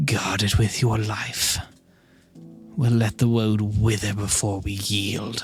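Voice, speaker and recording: Faint music plays in the background as a man delivers a raspy, put-on character voice at a fairly low pitch and a fairly slow pace. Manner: whispering.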